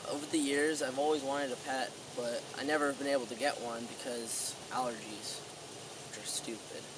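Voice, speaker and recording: The speaker talks at a fairly quick pace. There is noticeable background noise, and the sound is dry with no echo. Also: man. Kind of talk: mock-solemn eulogy monologue. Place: waterside. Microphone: camera far.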